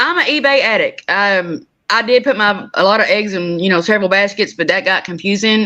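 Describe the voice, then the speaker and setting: Fairly quick speech in an Oklahoma accent, bright and sharp in tone. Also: woman. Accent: country Oklahoma. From southeast Oklahoma, McCurtain County. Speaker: reseller. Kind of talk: casual chat.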